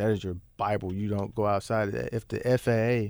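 A man with a plain, everyday voice and an American accent speaks at a fairly low pitch with fairly even intonation. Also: very clean recording, silent background. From US South (Arkansas, then Memphis, Tennessee from age 13). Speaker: aircraft mechanic and training pilot. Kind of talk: casual interview. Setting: studio.

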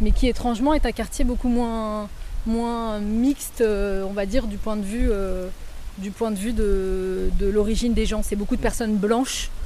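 A woman with a dark, mellow tone speaks at a fairly high pitch and a fairly slow pace. Her intonation is fairly even, and audible room echo surrounds her. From France, Évreux (Normandy). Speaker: author and theatre director. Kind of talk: interview. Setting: on location outdoors in neighbourhood. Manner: halting.

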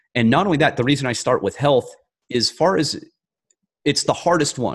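Marked by vocal fry and lively intonation, the speech comes at a fairly quick pace with an American accent against a quiet background. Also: man. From rural mountain area, US. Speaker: author and former federal agent. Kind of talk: interview.

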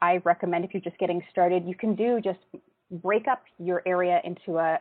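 Medium-pitched woman's voice, an unremarkable speaking voice, paced moderately and fairly even in intonation. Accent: Canadian. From Canada, Toronto. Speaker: instructional designer and events programming manager. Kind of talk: casual interview.

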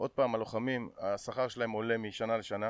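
Moderately paced and medium in pitch, a man's voice stays in monotone, flat intonation. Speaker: MMA fighter and event promoter. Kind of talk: casual chat.

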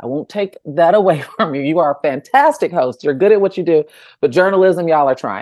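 A woman in an ordinary speaking voice talks at a fairly quick pace with an American accent, a fairly low pitch and lively intonation. Her loudness swings widely, and the sound is dry and close with no echo against a quiet background. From Chicago suburbs, US Midwest. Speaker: journalist. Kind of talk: casual interview chat.

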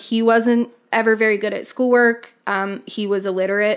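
On a very clean recording with a silent background, a woman has a normal speaking voice at a fairly high pitch. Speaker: podcast host. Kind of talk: casual chat with scripted case narration.

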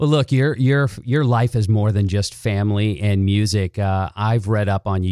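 A man talks at a moderate pace with a fairly low pitch, a dark, mellow tone and ordinary pitch variation. The recording is very clean, with a silent background and a dry, close sound with no echo. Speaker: podcast host. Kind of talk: casual interview; scripted intro. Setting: guest's studio.

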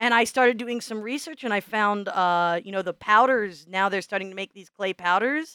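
Bright and sharp in tone, a woman speaks at a moderate pace with a medium pitch and ordinary pitch variation. The recording is very clean, with a silent background and a dry, close sound free of echo. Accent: Midwestern American. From US Midwest. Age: 40s. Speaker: podcast co-host and teacher. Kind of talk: casual chat.

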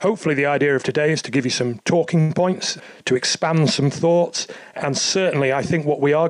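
A man's unremarkable speaking voice, fairly high in pitch, with ordinary pitch variation and a fairly quick pace. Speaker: podcast host. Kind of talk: interview.

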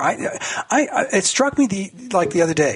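There is noticeable background noise behind a man speaking at a moderate pace. His intonation is lively. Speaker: political cartoonist. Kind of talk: radio interview. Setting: phone call.

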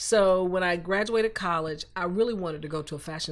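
With a Southern US accent, a woman talks using ordinary pitch variation. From US South, Columbus, Georgia. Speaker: artist and former fashion design professor. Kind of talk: interview.

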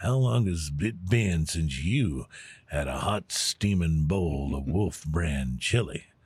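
A man's put-on character voice, very deep and low, with lively intonation. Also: fairly slow pace. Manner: folksy, drawling pitch.

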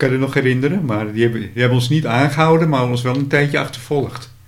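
The voice moves at a fairly quick pace with ordinary pitch variation, and audible room echo surrounds it. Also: man, big swings in loudness. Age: 60s. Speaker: podcast host and radio hobbyist. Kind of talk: casual interview. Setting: at the guest's home.

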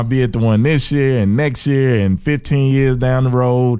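This man speaks with an Alabama accent. His pitch is medium and varies in an ordinary way. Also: very clean recording, silent background. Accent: US Southern (Alabama). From Birmingham, Alabama. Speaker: comedian and podcast host. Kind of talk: casual interview chat.

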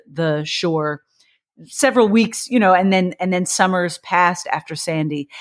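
With a slight Kentucky accent, a woman speaks at a fairly quick pace, her fairly low pitch showing ordinary variation. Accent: slight Kentucky twang. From Kentucky (Bardstown, central Kentucky). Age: 40s. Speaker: poet and YA author. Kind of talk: interview conversation. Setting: remote call.

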